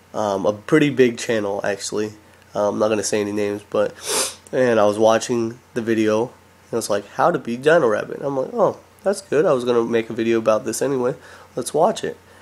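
Against noticeable background noise, a man with medium pitch talks fairly quickly with ordinary pitch variation. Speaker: Yu-Gi-Oh card game YouTuber. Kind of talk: casual vlog talk. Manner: hesitant, many fillers.

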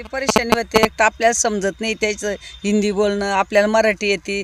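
Noticeable background noise sits behind a woman speaking at medium pitch in a monotone, flat way. The sound is dry and close, with no echo. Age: old. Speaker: farmer. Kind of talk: casual interview.

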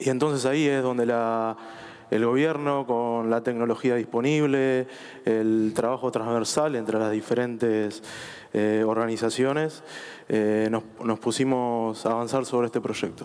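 This man's intonation is fairly even and his loudness very even. He speaks at a fairly slow pace. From Argentina. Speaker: government official; panelist. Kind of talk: panel discussion. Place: stage. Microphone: headset.

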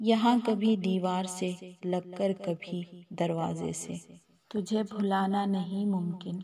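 A woman's medium-pitched voice, sad in tone, with monotone, flat intonation. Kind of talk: Urdu poetry reading. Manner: sad, emotive.

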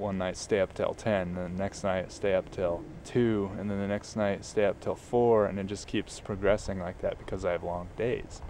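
With a dark, mellow tone and fairly low pitch, a man talks at a moderate pace with fairly even intonation, in a dry, echo-free sound over light background noise. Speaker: vlogger. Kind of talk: casual vlog chat. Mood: reflective, musing. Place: open country. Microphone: phone near.

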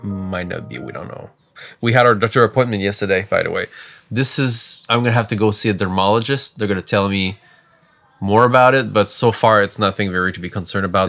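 Faint music plays in the background as a man with a fairly low voice and ordinary pitch variation talks at a very fast pace. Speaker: family vlogger. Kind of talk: casual vlog chat. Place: home room. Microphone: phone near.

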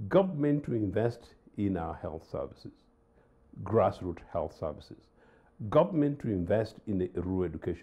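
A man with a fairly low pitch speaks at a moderate pace, somewhat breathy, with lively intonation. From Uganda. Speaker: political analyst. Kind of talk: studio panel discussion. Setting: studio. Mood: critical, analytical. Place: studio. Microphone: lapel.

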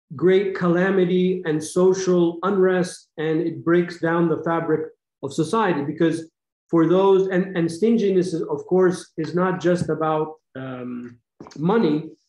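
A high-pitched man's voice with fairly even intonation and audible room echo. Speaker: religious teacher. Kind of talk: lecture. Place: home room. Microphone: webcam.

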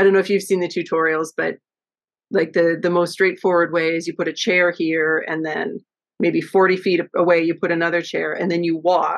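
Spoken at a moderate pace in a Canadian accent, the voice stays flat and monotone against a quiet background. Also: woman, fairly low pitch for a woman. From western Canada (Vancouver, from high school on). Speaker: yarn dyer, small business owner; guest. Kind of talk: casual interview. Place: home room. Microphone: video call.

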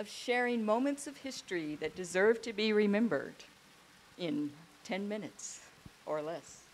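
Lively intonation marks a woman's speech at a moderate pace. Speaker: daughter of the deceased. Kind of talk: eulogy. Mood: emotional, grateful, warm. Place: garden. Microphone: handheld.

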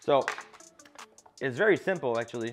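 Over faint background music, a man speaks with ordinary pitch variation. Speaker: home cook host. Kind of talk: casual cooking tutorial. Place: kitchen.

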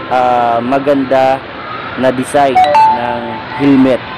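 Over noticeable background noise, a man speaks at a very slow pace. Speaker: vlogger. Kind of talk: casual vlog chat. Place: shop.

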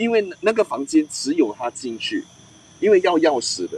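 The speech moves at a moderate pace, and the sound is dry with no echo. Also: man. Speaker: paranormal storytelling show host, former police officer; paranormal storytelling show host. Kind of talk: ghost storytelling live stream. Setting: outdoors at night, live stream. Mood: relaxed, playful. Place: open country. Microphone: poor reception.

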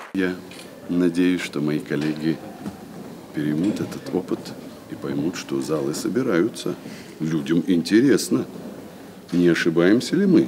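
A man speaks in a very deep, low voice at a fairly slow pace. His long pauses come often, with light background noise underneath. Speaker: stage actor. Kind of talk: interview answer. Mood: thoughtful, concerned. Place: stage.

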